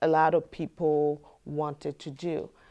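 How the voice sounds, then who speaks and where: This woman has a fairly low pitch and a dark, mellow tone, heard in a very clean recording with a silent background. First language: French. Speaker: community advocate. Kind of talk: interview testimony. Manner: halting, many fillers.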